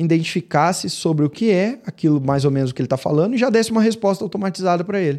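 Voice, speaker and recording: This man talks very fast with a high pitch and lively intonation. His tone is dark and mellow. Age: 30s. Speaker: podcast host, medical marketing consultant. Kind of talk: solo lecture.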